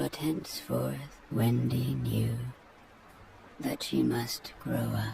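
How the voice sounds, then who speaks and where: A man speaks in a put-on character voice at a very slow pace. He leaves long, frequent pauses, with clear background noise behind him. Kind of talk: bedtime story reading. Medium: read story. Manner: measured, tranquil.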